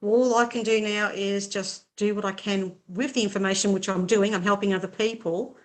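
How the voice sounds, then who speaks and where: The speech runs at a moderate pace with monotone, flat intonation and hardly any pauses. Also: woman, medium pitch for a woman. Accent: Australian. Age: 60s. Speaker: writer. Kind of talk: casual chat.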